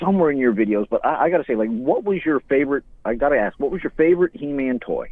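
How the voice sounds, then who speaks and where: This man talks at a very fast pace. His fairly high voice moves through very wide pitch swings. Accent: Newfoundland. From Newfoundland, Canada. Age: 40s. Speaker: caller. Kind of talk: casual chat. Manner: animated.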